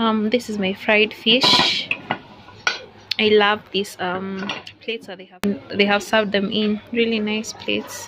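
Noticeable background noise sits behind a woman who speaks at a fairly slow pace. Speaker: food vlogger. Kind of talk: casual vlog chat. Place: cafe. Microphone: phone near.

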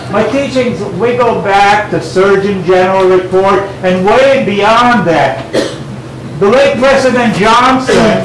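A man speaks fairly slowly amid light background noise and audible room echo. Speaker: guest. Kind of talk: lecture. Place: shop. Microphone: camera far.

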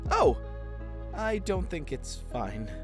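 A man speaks slowly in a put-on character voice, high for a man, with very wide pitch swings and clear music in the background.

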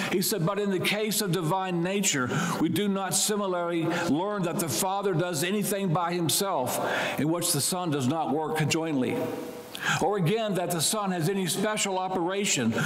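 The voice holds a very even loudness, with audible room echo. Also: man, high pitch for a man, ordinary pitch variation, moderate pace. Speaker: priest. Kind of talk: sermon. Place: church. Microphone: lapel.

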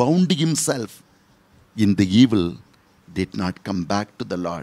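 A man speaks here, his pitch rising and falling in very wide swings. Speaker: priest. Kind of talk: sermon with story and closing prayer; fervent prayer. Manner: earnest, pleading, devout. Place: studio. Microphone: studio mic.

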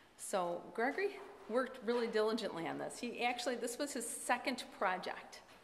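A woman talks at a moderate pace with ordinary pitch variation. The room echo is audible, with light background noise. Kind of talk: public remarks at a meeting. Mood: proud, warm. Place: meeting room. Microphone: podium.

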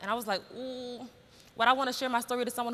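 A woman speaks with an American accent. Her tone is bright and sharp, at a fairly high pitch. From Brooklyn, New York; New York. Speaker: educator and spoken word poet; educator, spoken word poet. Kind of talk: conference talk. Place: stage. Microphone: lapel.

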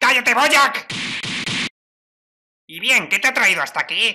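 A put-on character voice, high-pitched and female-sounding, moves along at a fairly slow pace.

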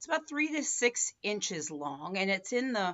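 This is a woman speaking over a quiet background. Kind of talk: health explainer talk to camera. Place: home room.

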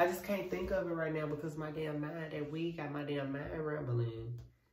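Audible room echo, a moderate pace and ordinary pitch variation. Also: man. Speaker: vlogger. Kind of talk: casual vlog chat. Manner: loose, slurred, intoxicated rambling. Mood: relaxed, distracted, rambling. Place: home room. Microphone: phone near.

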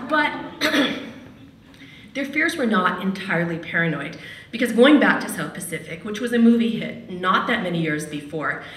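A woman at a moderate pace with long, frequent pauses and audible room echo. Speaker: radio host and storyteller. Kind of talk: personal storytelling at a live event. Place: hall. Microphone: podium.

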